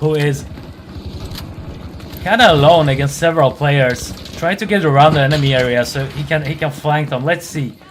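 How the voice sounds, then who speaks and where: Over noticeable background noise, the speaker keeps a moderate pace broken by long, frequent pauses. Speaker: esports caster. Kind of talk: live commentary.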